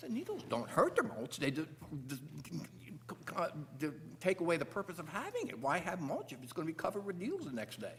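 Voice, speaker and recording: A man talks at a very fast pace in a high-pitched voice, yet leaves long, frequent pauses. Noticeable background noise runs under the recording. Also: lively intonation. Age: 70s. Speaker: resident addressing a town commission. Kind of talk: public meeting testimony. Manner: halting, with frequent fillers and restarts.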